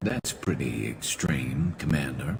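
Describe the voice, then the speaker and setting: Over clear background noise, a man uses a put-on character voice, very deep and low, and talks at a fairly slow pace. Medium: machinima.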